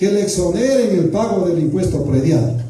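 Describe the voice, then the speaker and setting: Through audible room echo, a man with a high pitch and lively intonation speaks at a fairly slow pace. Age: 60s. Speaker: public official. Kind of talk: public accountability Q&A.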